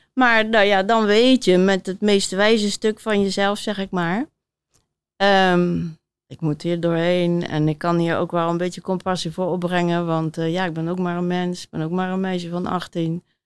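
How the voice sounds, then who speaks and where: On a very clean recording with a silent background, a woman has a normal speaking voice at a fairly low pitch. She keeps a moderate pace and fairly even intonation. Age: 60s. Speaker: author and body coach. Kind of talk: interview before live audience. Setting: theater stage with audience.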